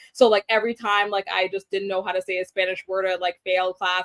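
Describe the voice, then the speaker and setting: In a flat monotone, a woman with an American accent talks very fast at a medium pitch, the sound dry and close with no echo. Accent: Guyanese accent described as weak. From Guyana, raised partly in Belize and New York. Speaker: media producer and beauty influencer. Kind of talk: interview. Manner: casual, many fillers.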